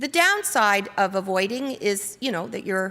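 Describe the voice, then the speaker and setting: Bright and sharp in tone, a woman speaks at a fairly high pitch with lively intonation. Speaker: conference workshop presenter. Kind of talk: conference presentation to audience. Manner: fast.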